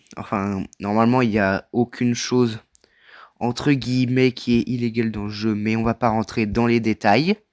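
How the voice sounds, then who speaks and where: A man talks at a moderate pace and medium pitch in a monotone, flat intonation. The recording is very clean with a silent background, and the sound is dry and close with no echo. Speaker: gaming video creator. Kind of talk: casual gameplay commentary. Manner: loud.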